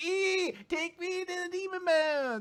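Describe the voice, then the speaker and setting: A man puts on a character voice at an extremely high pitch. He talks at a fairly slow pace. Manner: creepy.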